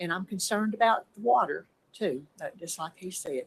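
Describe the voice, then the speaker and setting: In an East Tennessee accent, a woman with a somewhat breathy, medium-pitched voice uses lively intonation in a dry, close sound with no echo. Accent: Southern US (East Tennessee). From US South. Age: 70s. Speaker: resident speaking in opposition. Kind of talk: public comment at a planning hearing. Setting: public meeting, speaking at a mic.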